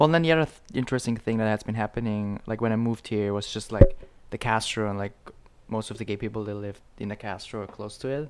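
With an Austrian accent, a man talks at a very fast pace in a fairly low pitch, his loudness swinging widely. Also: ordinary pitch variation. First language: German. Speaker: events board member and dancer. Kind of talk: casual chat.

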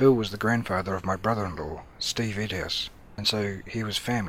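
A man with a New Zealand accent, fairly low in pitch, at a fairly quick pace with ordinary pitch variation. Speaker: podcast host. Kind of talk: scripted introduction.

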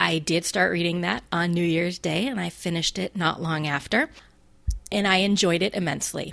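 With a General American accent, a woman talks at a moderate pace in an ordinary speaking voice, her pitch fairly low with ordinary variation. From US. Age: 40s. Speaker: podcast host. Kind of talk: solo podcast monologue.

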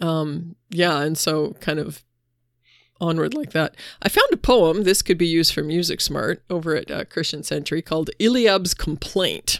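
Over a very clean recording with a silent background, a woman in an unremarkable speaking voice talks at a moderate pace, with a fairly low pitch and ordinary pitch variation. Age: 50s. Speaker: podcast co-host, preaching resource. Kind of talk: casual chat about scripture and sermon ideas.

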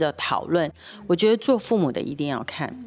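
An animated woman with a fairly low voice speaks with very wide pitch swings. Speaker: nonprofit executive director and co-host. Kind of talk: casual radio chat about a TV drama.

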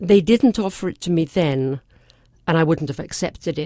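A woman speaks at a moderate pace with a very deep, low pitch and a dark, mellow tone, in an English accent. The recording is very clean, with a silent background. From England. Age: 70s. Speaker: physician and breast cancer survivor. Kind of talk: interview.

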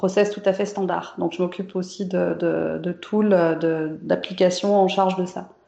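Speaking at a fairly slow pace, a woman keeps a medium pitch in a monotone, flat intonation. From France, Saint-Étienne near Lyon. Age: 40s. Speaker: software developer. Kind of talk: interview. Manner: casual, hesitant with fillers.

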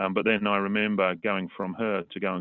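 The man's voice is fairly low in pitch. He speaks at a fairly quick pace. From England, east of London. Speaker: politician. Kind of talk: interview. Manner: halting, many fillers.

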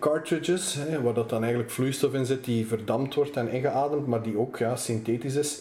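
The speaker keeps a moderate pace and fairly even intonation over noticeable background noise. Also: man. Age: 20s. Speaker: magazine editor-in-chief. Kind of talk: interview.

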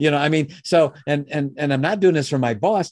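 With a dark, mellow tone, a man talks at a fairly quick pace over a quiet background. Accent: Chicago. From US Midwest, Chicago. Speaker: business founder and educator. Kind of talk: interview.

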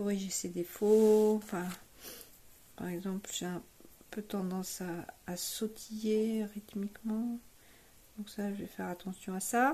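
A woman speaks very slowly, with long, frequent pauses and fairly even intonation. Her medium-pitched voice is somewhat breathy, with a dark, mellow tone. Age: 60s. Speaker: amateur bass player, workshop participant. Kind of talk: testimonial. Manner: hesitant with many fillers.

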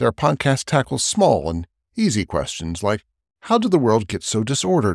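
A man speaks at a moderate pace with vocal fry, his voice dry and close with no echo on a very clean recording against a silent background. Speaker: podcast host introducing another show. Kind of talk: spoken intro.

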